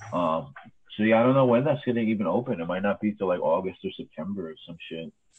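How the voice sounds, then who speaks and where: A man with a New York accent and a fairly low pitch speaks at a very fast pace. His intonation is lively and his loudness swings widely. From New York City, Queens. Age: 30s. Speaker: cemetery superintendent. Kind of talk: casual chat.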